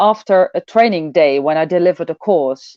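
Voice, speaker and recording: A woman with a Dutch accent speaks with very wide pitch swings. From Netherlands. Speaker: personal development coach. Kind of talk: online event talk. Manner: halting, many fillers.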